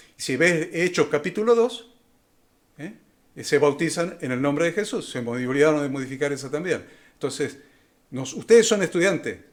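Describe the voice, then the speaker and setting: The speaker is a man with a fairly high pitch. He moves at a fairly quick pace with ordinary pitch variation. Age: 60s. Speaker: Bible college professor. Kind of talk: lecture. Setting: live online class. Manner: halting, with many fillers.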